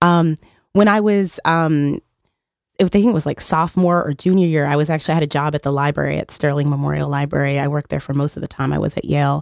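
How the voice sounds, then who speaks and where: In a dry, close sound with no echo, a woman talks at a very fast pace with a very deep, low pitch and ordinary pitch variation. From Texas, El Paso. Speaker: community organizer. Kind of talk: radio interview. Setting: radio studio.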